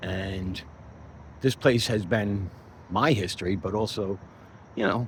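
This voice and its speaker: Here is a man with a very deep, low pitch and ordinary variation. His voice is somewhat breathy. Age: 60s. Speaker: chief engineer and channel owner. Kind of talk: casual first-person video monologue.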